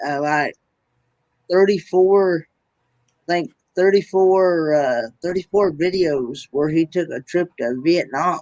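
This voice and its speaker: A man with a Southern accent speaks very slowly in a high pitch, with ordinary pitch variation and long, frequent pauses, in a dry, close sound with no echo. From US South, Tennessee. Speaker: livestream host. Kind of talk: casual chat.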